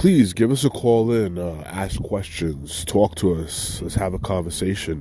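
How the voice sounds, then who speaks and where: A man's very deep, low voice at a fairly slow pace with hardly any pauses and ordinary pitch variation, amid noticeable background noise and audible room echo. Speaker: podcast host, veteran. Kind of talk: casual solo podcast talk. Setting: outdoors. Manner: halting, many fillers.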